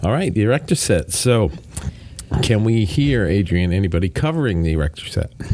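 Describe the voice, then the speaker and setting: The voice has a playful tone, swinging very widely in pitch at a fairly quick pace. Noticeable background noise can be heard. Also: man, fairly low pitch for a man. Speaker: podcast host. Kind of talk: casual chat. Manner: joking, playful.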